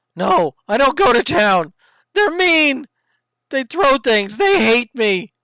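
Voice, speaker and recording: A put-on character voice, fairly high in pitch with very wide pitch swings, at a fairly slow pace. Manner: clipped, terse.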